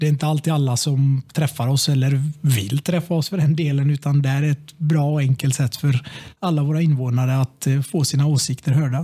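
A somewhat breathy man at fairly high pitch, with moderate pace, very even loudness, and fairly even intonation. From Sweden, Tranemo (Västergötland). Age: 30s. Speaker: local politician. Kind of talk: casual chat. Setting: office rigged as studio.

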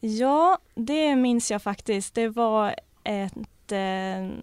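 Very clean recording with a silent background, dry and close with no echo. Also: woman. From Gotland, Sweden. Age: 20s. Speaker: newly graduated police officer. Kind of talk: casual interview. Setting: studio.

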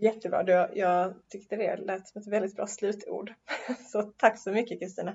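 A somewhat breathy voice at a moderate pace, flat and monotone in intonation, with big swings in loudness. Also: woman, medium pitch for a woman. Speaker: podcast host and university chaplain. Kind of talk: casual theological conversation. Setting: Uppsala, recorded in person. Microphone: poor sound quality.

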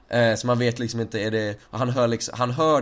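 Speaking at a fairly quick pace, a man has an unremarkable speaking voice at a medium pitch. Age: 20s. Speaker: podcast host. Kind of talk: casual chat.

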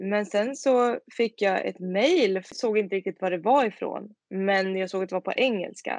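This woman has a normal speaking voice. Her pitch is medium, with ordinary pitch variation. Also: dry, close sound with no echo. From Sweden, Tidaholm in Skaraborg. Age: 20s. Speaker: singer-songwriter. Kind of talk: interview.

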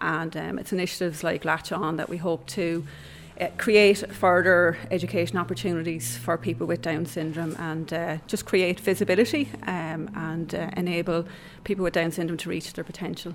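This woman speaks with a southeast Irish accent, her fairly low voice showing vocal fry. Her pace is moderate and her pitch varies in an ordinary way. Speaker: adult education coordinator. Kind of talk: interview.

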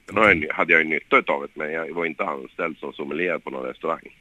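A man's bright, sharp tone comes through with a dry, close sound and no echo. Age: 30s. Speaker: former professional footballer. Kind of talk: interview. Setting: phone call. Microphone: poor phone line sound.

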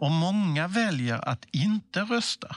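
A man speaks at a very slow pace with very wide pitch swings, his voice dry and close with no echo against a quiet background. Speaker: civic information presenter. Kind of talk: scripted explainer dialogue.

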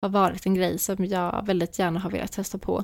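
The woman talks at a medium pitch and moderate pace, on a very clean recording with a silent background. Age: 20s. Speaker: podcast host. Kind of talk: solo monologue.

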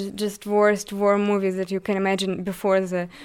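A woman with a Ukrainian accent speaks at a fairly slow pace and medium pitch. The recording is very clean, with a silent background. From Eastern Ukraine, Donbas. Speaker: refugee student. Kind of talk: interview. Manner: halting.

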